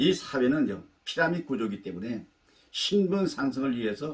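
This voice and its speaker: A man delivers his words with lively intonation at a moderate tempo. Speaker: life-advice YouTuber. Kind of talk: talk to camera, life lecture.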